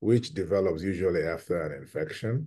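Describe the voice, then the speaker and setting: Over a quiet background, a man speaks in a very deep, low voice with a dark, mellow tone. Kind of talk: interview answer. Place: home room. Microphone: video call.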